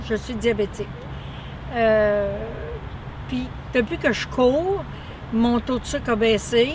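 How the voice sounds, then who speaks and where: A woman speaks at a very slow pace. Her pitch is fairly high, and noticeable background noise is present. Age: 60s. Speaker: runner giving a testimonial. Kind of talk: testimony. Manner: halting, many fillers.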